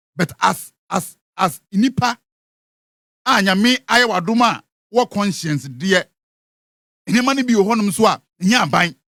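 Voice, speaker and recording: His voice raised and projected, a man speaks at a high pitch with a bright, sharp tone and lively intonation, moving at a fairly slow pace with long, frequent pauses and very even loudness. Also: dry, close sound with no echo. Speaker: radio entertainment show host. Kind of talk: radio show commentary.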